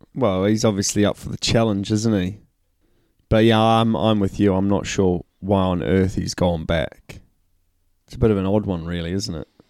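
Here is a man with a plain, everyday voice. His pitch is fairly low. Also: fairly even intonation, moderate pace. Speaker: rugby podcast co-host. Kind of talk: casual banter, sports podcast.

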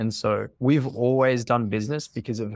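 A man with an Australian accent and ordinary pitch variation, on a very clean recording with a silent background. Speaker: marketing agency co-founder. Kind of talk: podcast interview. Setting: call.

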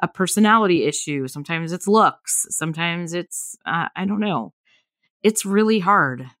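In a plain, everyday voice with an American accent, a woman talks at a fairly quick pace and fairly low pitch with lively intonation, the sound dry and close with no echo on a very clean recording with a silent background. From Southern California. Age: 40s. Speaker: podcast host. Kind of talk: casual chat.

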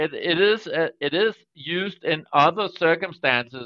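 A man with a Danish accent speaks at a high pitch. His pace is fairly slow and his pitch varies in an ordinary way. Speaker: data protection regulator, security specialist and lawyer. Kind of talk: podcast interview. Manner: halting with frequent repetitions.

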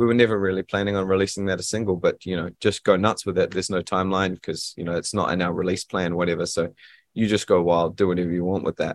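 A man with a New Zealand accent speaks at a very fast pace, his very deep, low pitch held in monotone, flat intonation. The sound is dry and close, with no echo. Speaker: musician, band frontman. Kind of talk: casual interview chat. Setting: Zoom video call.

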